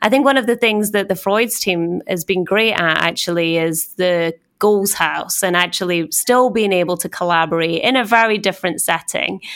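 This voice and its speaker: A Scottish accent with hardly any pauses. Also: woman, medium pitch for a woman, ordinary pitch variation, moderate pace. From Scotland. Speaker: corporate communications executive. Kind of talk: casual interview conversation. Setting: office in New York.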